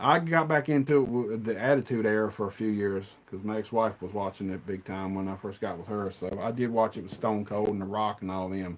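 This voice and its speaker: A man with an American accent talks at a fairly quick pace with hardly any pauses, fairly low in pitch with ordinary pitch variation. The recording is very clean, with a silent background. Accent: redneck. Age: 40s. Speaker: movie collector streamer. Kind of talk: casual chat. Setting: live stream.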